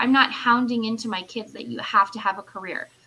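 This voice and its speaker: The intonation is fairly even. Noticeable background noise runs under the speech. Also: woman. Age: 30s. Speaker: business owner. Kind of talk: casual chat.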